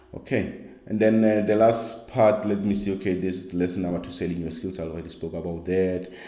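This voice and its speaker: Audible room echo surrounds a man whose very deep, low voice runs at a fairly quick pace with fairly even intonation. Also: hardly any pauses. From South Africa. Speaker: skills coach. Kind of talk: online course lecture. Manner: halting, with many fillers.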